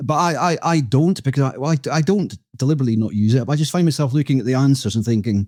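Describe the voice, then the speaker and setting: A man's dark, mellow, medium-pitched voice in a Scottish accent, very fast, with lively intonation and very even loudness. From Scotland. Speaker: podcast co-host. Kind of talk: casual chat. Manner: halting.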